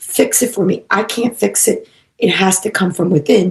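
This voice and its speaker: The woman's somewhat breathy voice moves at a fairly slow pace. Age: 60s. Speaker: psychic medium and animal communicator. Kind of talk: casual chat.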